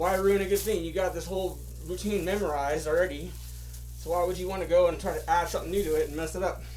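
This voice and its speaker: A man at a very fast pace amid noticeable background noise and audible room echo. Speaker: amateur comedian. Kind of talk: stand-up.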